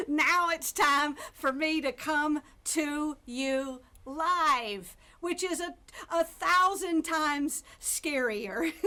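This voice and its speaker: A woman speaks at a very slow pace in a raised, projected voice. Her high pitch has a bright, sharp tone and ordinary pitch variation. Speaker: motivational keynote speaker. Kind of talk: virtual keynote speech. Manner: light, funny, upbeat.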